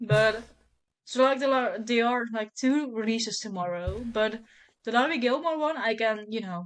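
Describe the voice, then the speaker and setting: A woman speaks with a Dutch accent. Her pace is moderate. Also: fairly high pitch for a woman, ordinary pitch variation. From Netherlands. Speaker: book content creator. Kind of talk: casual chat.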